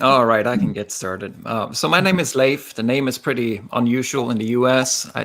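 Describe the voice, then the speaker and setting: This man speaks with a Norwegian accent at a moderate pace, with hardly any pauses. His pitch sits in the medium range. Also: ordinary pitch variation. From Norway. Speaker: rock musician. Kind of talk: casual interview.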